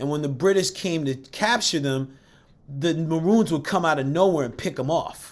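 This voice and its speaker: At a moderate pace, a man with an American accent talks in an animated tone at a fairly high pitch with ordinary pitch variation. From US, Jamaican American family. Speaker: men's trainer and coach. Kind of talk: casual chat.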